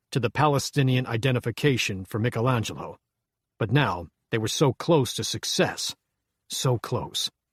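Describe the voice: Over a quiet background, the words are simply read aloud in a plain way.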